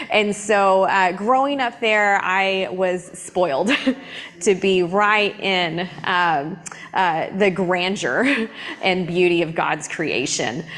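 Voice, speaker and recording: A woman in a Southern US accent, medium in pitch with ordinary pitch variation, at a very slow pace and very even loudness, amid audible room echo and noticeable background noise. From US South, East Tennessee. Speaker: climate scientist and church planter. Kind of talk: church talk. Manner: halting, many fillers.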